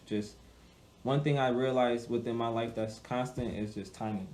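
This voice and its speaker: A man speaks at a medium pitch and a fairly slow pace in a dark, mellow tone. Audible room echo surrounds his voice. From Hartford, Connecticut, US. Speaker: musical artist. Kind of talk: interview.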